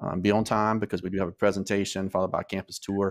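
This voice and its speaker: A man's very deep, low voice, monotone and flat, delivered at a very fast pace over a quiet background. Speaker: school admissions host. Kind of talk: informational presentation. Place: home room.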